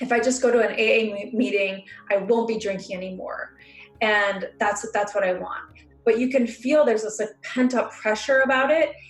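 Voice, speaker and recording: Music plays in the background as a woman speaks at a moderate pace, her fairly high pitch carried in fairly even intonation. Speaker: emotional healing practitioner. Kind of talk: instructional talk. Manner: hesitant fillers.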